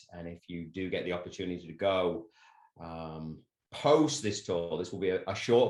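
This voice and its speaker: In an English accent, a man speaks at a moderate pace. His pitch is very deep and low, with ordinary variation. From England. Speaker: soccer coach. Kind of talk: presentation. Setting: video call.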